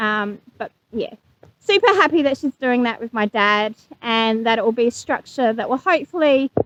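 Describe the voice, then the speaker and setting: A woman with an Australian accent speaks at a high pitch, in a dry, close sound with no echo. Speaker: homesteader. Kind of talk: vlog narration. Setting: outdoors. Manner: loud hollering.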